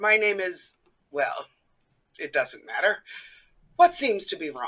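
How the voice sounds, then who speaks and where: A put-on character voice, raspy and fairly high in pitch, moves at a fairly slow pace. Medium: stage play. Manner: suave, mocking.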